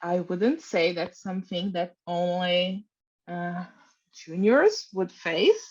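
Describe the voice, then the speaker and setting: Speaking at a very slow pace with a non-native accent, a woman has a medium pitch, fairly even intonation and a somewhat breathy voice. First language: not English. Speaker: design team lead panellist. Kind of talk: panel discussion.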